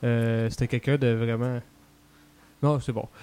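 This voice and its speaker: At a moderate pace, a man with a Quebec accent speaks at medium pitch. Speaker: podcast guest. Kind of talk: casual chat. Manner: soft-spoken.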